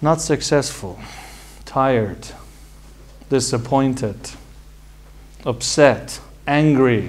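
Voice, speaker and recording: A man with an Iranian accent and medium pitch speaks at a very slow pace, leaving long, frequent pauses. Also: ordinary pitch variation. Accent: Iranian (Persian). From Iran, Tehran. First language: Persian. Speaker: medical doctor and college founder. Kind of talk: personal talk to an audience.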